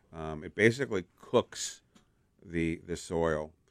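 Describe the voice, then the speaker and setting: A man's very deep, low voice with lively intonation, in a very clean recording with a silent background. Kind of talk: casual on-air chat, relaxed back-and-forth banter with the host. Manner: easygoing, chatty and slightly halting, with filler words and repeated phrases.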